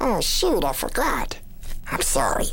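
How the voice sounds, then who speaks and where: Fairly slow and raspy, the speech comes in a put-on character voice. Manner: sweet, apologetic.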